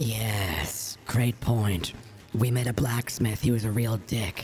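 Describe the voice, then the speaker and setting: A raspy, put-on character voice, low in pitch and fairly slow, over clear background noise. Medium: actual play. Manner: sarcastic, whiny.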